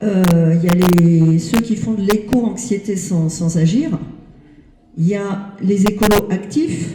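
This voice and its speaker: Very slowly, a woman speaks in a somewhat breathy voice with a dark, mellow tone, keeping a medium pitch and ordinary pitch variation. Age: 60s. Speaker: audience member. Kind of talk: audience question. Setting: library event with audience.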